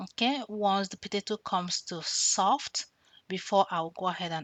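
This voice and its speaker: A woman speaks with a Nigerian accent. Her pace is moderate. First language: Nigerian language. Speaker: cooking vlogger. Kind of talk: tutorial.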